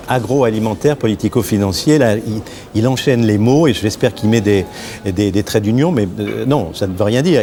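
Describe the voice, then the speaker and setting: Noticeable background noise behind ordinary pitch variation. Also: man. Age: 60s. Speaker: film director. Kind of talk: casual chat. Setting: studio. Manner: animated; halting.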